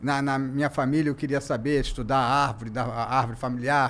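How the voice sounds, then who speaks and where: A man speaks in a medium pitch at a fairly quick pace. His intonation is monotone and flat. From Brazil, Rio de Janeiro (Santa Teresa). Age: 60s. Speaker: journalist and museum founder. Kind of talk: casual interview chat. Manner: halting, many false starts.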